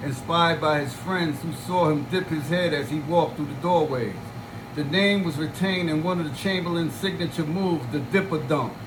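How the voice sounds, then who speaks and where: A man at a fairly high pitch and moderate pace, ordinary pitch variation, noticeable background noise and audible room echo. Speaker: sports channel host. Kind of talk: reading aloud.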